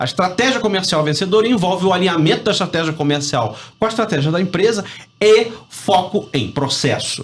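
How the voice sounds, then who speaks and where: Over noticeable background noise, a man with a Rio de Janeiro accent talks fairly quickly in a high voice with lively intonation. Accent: carioca (Rio de Janeiro). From Rio de Janeiro, Brazil. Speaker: business professor and sales consultant. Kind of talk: radio interview. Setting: radio studio.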